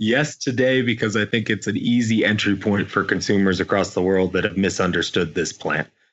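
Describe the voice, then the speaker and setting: A man with an American accent and an unremarkable speaking voice talks at a fairly quick pace with hardly any pauses, a fairly low pitch, ordinary pitch variation and very even loudness. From US Midwest, Indiana. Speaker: company founder and CEO. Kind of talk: interview.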